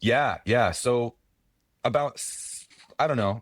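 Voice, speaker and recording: His voice sits at a medium pitch for a man. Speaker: pay per call affiliate marketer, brokerage owner. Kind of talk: casual podcast interview. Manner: loud; animated, fast.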